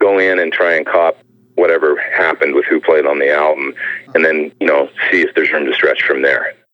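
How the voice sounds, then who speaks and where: A man's fairly quick delivery at a very even loudness. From Canada (Edmonton, Alberta). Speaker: session guitarist. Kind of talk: casual interview chat.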